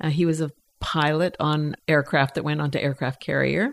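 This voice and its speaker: With an American accent and a very deep, low voice, a woman speaks at a moderate pace on a very clean recording with a silent background and a dry, close sound with no echo. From Canadian Prairies (Edmonton). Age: 70s. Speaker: drug policy advocate and bereaved mother. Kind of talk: casual interview. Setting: home basement.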